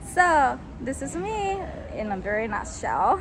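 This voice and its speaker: A woman's fairly high voice with a Japanese accent, very slow, with very wide pitch swings and audible room echo. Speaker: English coach. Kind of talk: self-introduction video. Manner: halting.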